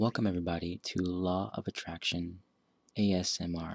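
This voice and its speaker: A soft-spoken man talks at a fairly slow pace with a very deep, low pitch and monotone, flat intonation. The sound is dry and close with no echo, on a very clean recording with a silent background. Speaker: architect. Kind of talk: ASMR soft-spoken narration.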